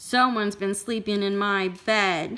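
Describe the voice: A woman talks in a put-on character voice at a moderate pace. Her pitch sits in the medium range.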